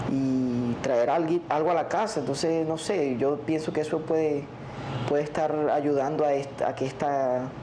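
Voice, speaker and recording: A man at a fairly high pitch, fairly slow pace and fairly even intonation, with noticeable background noise. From La Guajira, Colombia. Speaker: relative of kidnapping victim. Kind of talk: interview answer. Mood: serious, thoughtful. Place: studio. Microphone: lapel.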